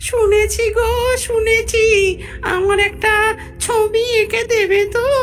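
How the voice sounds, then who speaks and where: A female-sounding cartoonish character voice squeaks out at an extremely high pitch and a very slow pace. Clear background noise runs underneath. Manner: coaxing, affectionate, urgent.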